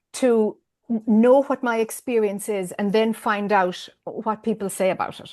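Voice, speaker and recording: Against a quiet background, a woman with an Irish accent speaks fairly slowly at a fairly high pitch. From Ireland. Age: 50s. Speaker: spiritual teacher. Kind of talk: interview. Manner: hesitant, many fillers.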